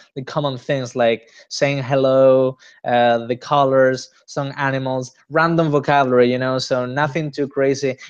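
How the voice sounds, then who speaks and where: The man speaks in a Spanish accent at a medium pitch. His pace is moderate. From Spain, Granada. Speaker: interviewee, Spanish speaker. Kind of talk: interview. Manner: halting, many fillers.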